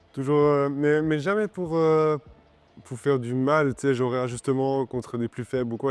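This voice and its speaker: Ordinary pitch variation marks a man's medium-pitched voice at a moderate pace. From Switzerland, Romont (Fribourg). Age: 20s. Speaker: MMA fighter. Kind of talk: interview. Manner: halting, many fillers.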